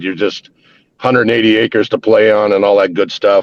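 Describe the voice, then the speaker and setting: A man with an American accent speaks at a fairly quick pace. His fairly low voice stays monotone and flat. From central Wisconsin, US. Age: 60s. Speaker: army veteran. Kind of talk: casual chat. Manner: halting.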